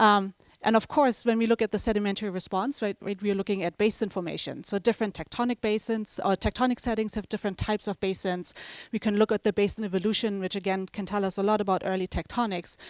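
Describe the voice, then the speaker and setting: In a German accent, a woman talks at a very fast pace and medium pitch with fairly even intonation, the sound dry and close with no echo in a very clean recording over a silent background. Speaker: professor. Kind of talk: lecture. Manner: casual, with many fillers.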